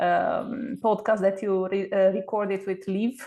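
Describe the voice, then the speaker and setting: In a Romanian accent, a woman speaks at a very slow pace with a medium-pitched voice and fairly even intonation. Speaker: book club member. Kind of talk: casual chat. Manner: halting, many fillers.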